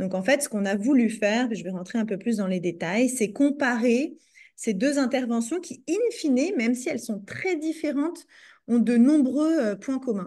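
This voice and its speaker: Against a quiet background, a woman talks at a moderate pace with lively intonation. Her high voice has a dark, mellow tone. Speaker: psychologist and researcher. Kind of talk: research presentation. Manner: hesitant, many fillers.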